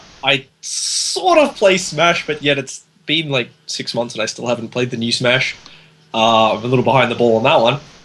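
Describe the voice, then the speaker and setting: Noticeable background noise sits behind a man with an Australian accent who talks at a fairly quick pace with ordinary pitch variation. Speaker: podcast panelist. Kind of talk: casual chat.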